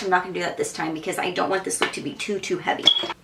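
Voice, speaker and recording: A woman speaks over noticeable background noise. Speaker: makeup artist. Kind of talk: tutorial. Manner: fast; casual, filler-heavy.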